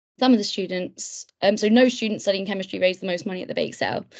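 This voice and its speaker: A woman speaks in a British accent at medium pitch. Her pitch varies in an ordinary way. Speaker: webinar tutor, medical student mentor. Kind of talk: online tutorial webinar. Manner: hesitant, many fillers.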